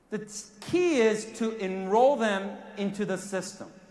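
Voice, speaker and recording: A man with a Korean accent speaks in a high pitch and an animated tone. Noticeable background noise and audible room echo fill the recording. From South Korea. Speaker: network marketing sales executive. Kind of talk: motivational speech. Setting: stage with audience.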